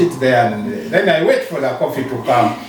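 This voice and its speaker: A man with a Ugandan accent talks at a moderate pace amid noticeable background noise and audible room echo. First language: Ugandan local language. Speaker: social worker, NGO founder. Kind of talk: interview. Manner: halting.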